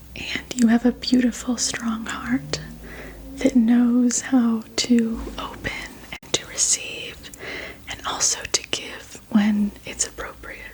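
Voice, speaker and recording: Whispering at a very slow pace, a woman speaks in a gentle tone while her loudness rises and falls sharply. Noticeable noise runs in the background. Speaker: reiki energy healer. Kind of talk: ASMR energy healing roleplay. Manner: soft-spoken, gentle.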